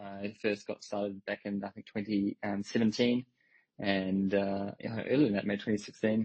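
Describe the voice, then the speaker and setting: A man talks at a moderate pace with a New Zealand accent. His fairly low voice stays monotone and flat. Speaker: crypto company executive. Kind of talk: interview on audio space.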